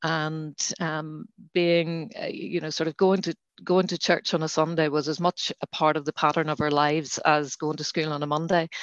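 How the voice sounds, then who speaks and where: A woman's very deep, low voice in a Northern Irish accent, monotone and flat, with a dry, close sound with no echo and a quiet background. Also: moderate pace. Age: 60s. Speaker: lay reader. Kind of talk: interview about faith. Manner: halting, many fillers.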